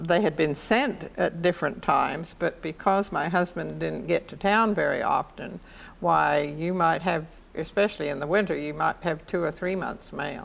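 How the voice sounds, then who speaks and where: With vocal fry and a fairly low pitch, a woman talks at a moderate pace with ordinary pitch variation. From England. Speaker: war veteran. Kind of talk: interview.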